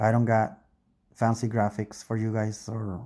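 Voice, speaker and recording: In a non-native accent, the speaker uses a dark, mellow tone at a fairly slow pace on a very clean recording with a silent background. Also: man. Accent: foreign accent, English second language. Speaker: YouTuber. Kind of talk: casual monologue. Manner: hesitant, self-correcting.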